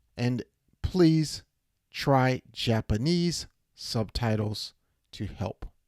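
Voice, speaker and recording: A man's medium-pitched voice at a very slow pace, with lively intonation and long, frequent pauses, in a dry, close sound with no echo. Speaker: English teacher, live show host. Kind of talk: live teaching advice show. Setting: live stream. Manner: slow, simple classroom English.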